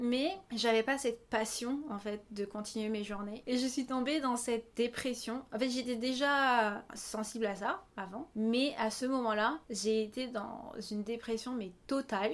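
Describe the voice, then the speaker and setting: A woman's normal speaking voice at a fairly slow pace, with ordinary pitch variation and hardly any pauses. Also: fairly high pitch for a woman. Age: 20s. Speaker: singer and dancer. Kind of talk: interview. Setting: at the host's home on a couch.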